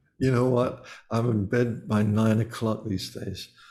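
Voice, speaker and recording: A man's fairly low, somewhat breathy voice, dark and mellow, very slow, with monotone, flat intonation. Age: 70s. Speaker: musician. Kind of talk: interview.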